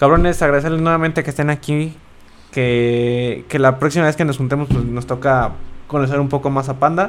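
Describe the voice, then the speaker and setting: With an ordinary speaking voice, a man talks at a fairly quick pace and a fairly high pitch, his intonation fairly even. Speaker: podcast co-host. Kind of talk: casual chat.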